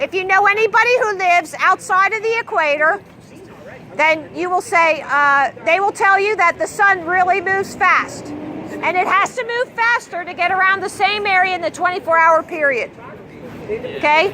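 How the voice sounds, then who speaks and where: Over noticeable background noise, a woman with an extremely high pitch speaks in a raised, projected voice and an animated tone, at a moderate pace with ordinary pitch variation. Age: 60s. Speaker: street activist. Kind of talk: street debate.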